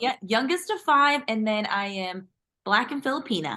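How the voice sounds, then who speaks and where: In a dry, close sound with no echo, a woman speaks at a fairly high pitch with a bright, sharp tone and lively intonation. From US military bases, moved often. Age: 30s. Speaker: podcast guest, government product manager. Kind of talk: casual interview chat.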